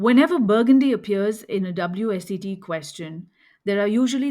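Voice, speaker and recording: Moderately paced and medium in pitch, a woman speaks with an Indian accent and ordinary pitch variation. The recording is very clean, with a silent background. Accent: Indian accent, affects French names. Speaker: wine educator podcast host. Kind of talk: scripted lecture.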